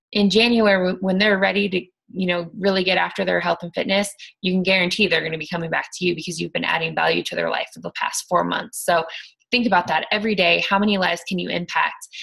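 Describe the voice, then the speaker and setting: A woman talks at a very fast pace with vocal fry. Her pitch is medium and her intonation fairly even. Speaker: fitness coach team leader. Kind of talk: motivational talk to team. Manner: halting, stuttering; casual, filler-heavy.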